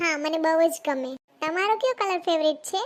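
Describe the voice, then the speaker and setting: In a squeaky, cartoonish character voice, a woman speaks at an extremely high pitch with lively intonation and a moderate pace. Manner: polite, soft.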